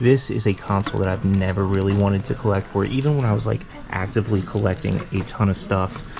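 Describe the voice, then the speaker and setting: A man pitched fairly low talks at a very fast pace, his pitch varying in an ordinary way, with noticeable background noise behind him. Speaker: thrift reseller vlogger. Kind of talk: vlog walkthrough. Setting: indoors in a thrift store. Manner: casual, chatty.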